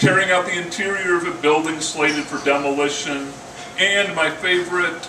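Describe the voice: A man's voice with fairly even intonation and audible room echo. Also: fairly high pitch for a man, moderate pace.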